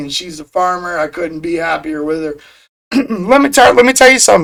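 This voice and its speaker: High-pitched for a man, this voice shows ordinary pitch variation. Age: 40s. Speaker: streamer and podcast host. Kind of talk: livestream monologue with chat. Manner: casual.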